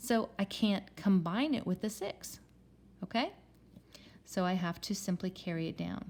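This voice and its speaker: Somewhat breathy, a woman speaks at a moderate pace and medium pitch with ordinary pitch variation. Her tone is dark and mellow, and the recording is very clean with a silent background. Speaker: math teacher. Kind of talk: tutorial.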